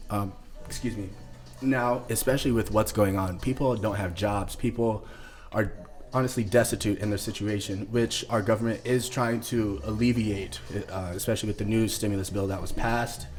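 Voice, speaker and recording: A man's somewhat breathy, fairly low voice with ordinary pitch variation and a moderate pace. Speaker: podcast host. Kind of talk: casual chat. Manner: halting.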